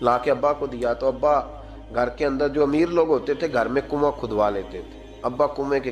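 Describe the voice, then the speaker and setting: A man speaks with music in the background. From Pakistan. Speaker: Islamic scholar and preacher. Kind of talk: Islamic sermon (bayan). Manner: emotional, storytelling.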